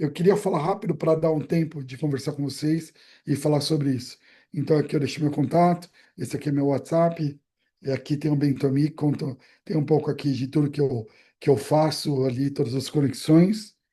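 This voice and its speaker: Against a quiet background, a man with a fairly high voice sounds somewhat breathy, with a dark, mellow tone and fairly even intonation. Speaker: brand strategy specialist. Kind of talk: presentation on video call. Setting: video call. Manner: fast.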